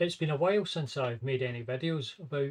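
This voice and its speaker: A man speaks with a strong Scottish accent and a somewhat breathy voice. His pitch sits fairly high, with ordinary variation. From Scotland. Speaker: maths and computer science educator. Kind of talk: casual talk to camera and screen walkthrough.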